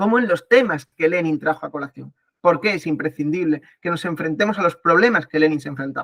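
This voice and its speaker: A man speaks fairly quickly in a high pitch with ordinary pitch variation. The sound is dry and close, with no echo. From Spain. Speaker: political science professor. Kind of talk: online talk / lecture. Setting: video call. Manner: fast; hesitant, many fillers.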